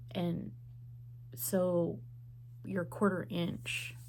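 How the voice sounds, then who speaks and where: A woman speaks at a very deep, low pitch with vocal fry and very wide pitch swings. Audible room echo surrounds her voice. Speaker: quilting vlogger. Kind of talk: casual vlog monologue. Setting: at home. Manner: soft-spoken.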